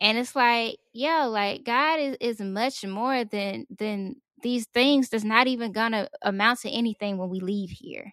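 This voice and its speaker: A woman with an ordinary speaking voice and a fairly high pitch speaks at a fairly slow pace with hardly any pauses and ordinary pitch variation, in a dry, close sound with no echo. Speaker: guest. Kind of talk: casual chat about faith.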